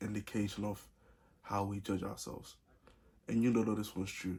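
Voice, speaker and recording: Somewhat breathy and dark, mellow in tone, a man speaks at a fairly low pitch with monotone, flat intonation. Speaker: vlogger. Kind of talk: casual advice vlog. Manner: many pauses.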